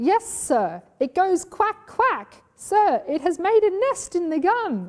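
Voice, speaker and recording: A woman puts on a character voice at an extremely high pitch with very wide pitch swings. She speaks at a fairly slow pace. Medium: read story. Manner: deferential, hesitant.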